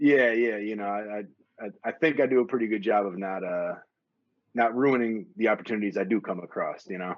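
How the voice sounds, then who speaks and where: Speaking in a normal speaking voice with an American accent, a man talks at a fairly quick pace, fairly low in pitch and with ordinary pitch variation. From Wisconsin. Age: 40s. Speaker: hip hop DJ. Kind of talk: casual interview.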